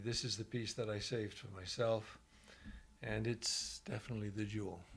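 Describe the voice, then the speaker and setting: With fairly even intonation, this speaker sounds somewhat breathy. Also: man. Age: 70s. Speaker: ranch owner. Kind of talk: interview.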